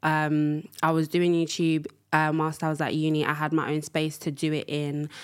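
A woman with a London accent speaks at a moderate pace in a very deep, low pitch. The recording is very clean, with a silent background. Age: 20s. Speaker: podcast host. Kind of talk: casual monologue. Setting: studio.

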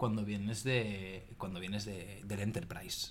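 A man with a fairly low pitch sounds somewhat breathy, and his intonation stays fairly even. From Spain, Barcelona. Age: 30s. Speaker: sales executive. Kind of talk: casual chat.

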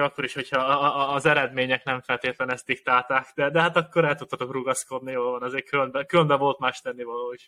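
A man speaks at a very fast pace with fairly even intonation. His tone is bright and sharp at a fairly high pitch, with a dry, close sound and no echo. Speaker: podcast co-host and athlete. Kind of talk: casual chat. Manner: halting.

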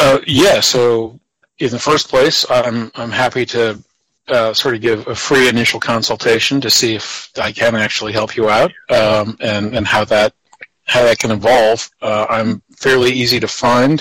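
A plain, everyday voice with an American accent, fairly even intonation and a moderate pace. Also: man, medium pitch for a man. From Virginia, US. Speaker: programmer and recreational mathematician. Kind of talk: interview.

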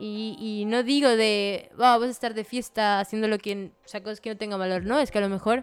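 Here a woman has an ordinary speaking voice at a fairly high pitch. She keeps a moderate pace. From Venezuela. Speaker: graphic designer. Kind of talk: casual chat.

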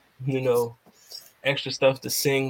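With a Philadelphia accent, a man speaks at a medium pitch. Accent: Philadelphia American. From US, Philadelphia. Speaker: podcast host, guest. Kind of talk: casual chat. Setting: video call.

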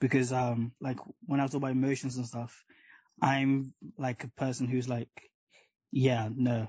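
An animated man at a medium pitch and moderate pace, somewhat breathy, against a quiet background. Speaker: podcast host. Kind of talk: casual chat. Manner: animated, laughs often.

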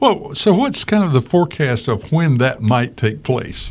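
At a fairly slow pace, a man speaks in a plain, everyday voice, pitched fairly high. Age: 50s. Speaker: radio talk show host. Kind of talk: radio interview. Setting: radio studio.

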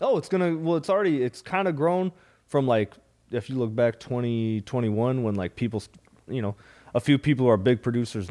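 Here a man has an unremarkable speaking voice with an American accent. His pace is fairly quick and his pitch variation ordinary. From US Midwest (Minnesota). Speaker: stand-up comedian. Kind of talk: casual chat.

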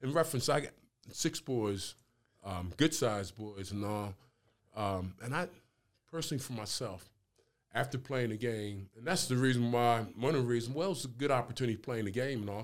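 A man with an American accent talks at a fairly quick pace in an ordinary speaking voice, medium in pitch with ordinary pitch variation and big swings in loudness, on a very clean recording with a silent background. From New Jersey (Camden). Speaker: retired pro football player. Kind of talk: casual interview conversation.

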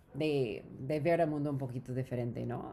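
The speaker has an English accent and a dark, mellow tone, talking at a moderate pace with ordinary pitch variation. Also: woman. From US West Coast, Southern California (Orange County). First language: English (speaking Spanish). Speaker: startup founder. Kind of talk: interview. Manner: halting.

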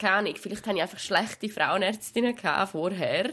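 A woman speaks with a Swiss accent. The recording is very clean and the background silent. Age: 20s. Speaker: podcast co-host. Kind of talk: casual chat.

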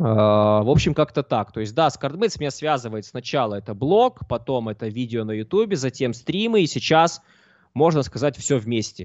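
With an unremarkable speaking voice, a man talks at medium pitch and a moderate pace using lively intonation. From southern Russia, Mozdok. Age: 20s. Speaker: poker coach and streamer. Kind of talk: casual interview. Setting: live stream.

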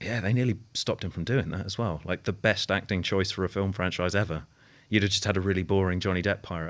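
Over a silent background in a very clean recording, a British accent comes through. The pace is very fast, with fairly even intonation. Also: man, fairly low pitch for a man. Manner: deadpan.

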